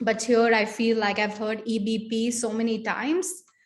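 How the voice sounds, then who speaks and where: A fairly high-pitched, somewhat breathy woman's voice. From India. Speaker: social work professor. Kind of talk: panel discussion. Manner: casual, with many fillers.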